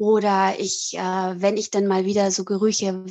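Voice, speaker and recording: Here a woman speaks at a medium pitch. The sound is dry and close, with no echo. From Italy (German-speaking family, born in Switzerland). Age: 40s. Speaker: author and psychological counsellor. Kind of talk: interview. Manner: hesitant, many fillers.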